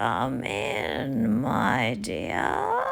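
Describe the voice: Against clear background noise, a put-on character voice comes through low in pitch and raspy.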